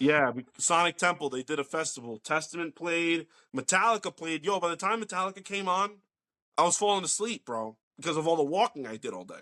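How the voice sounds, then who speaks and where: In a very clean, dry and close recording with a silent background and no echo, a man with a slight New Jersey accent talks at a fairly quick pace in a high, bright, sharp tone. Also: lively intonation. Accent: light New Jersey. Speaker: podcast host. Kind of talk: casual chat.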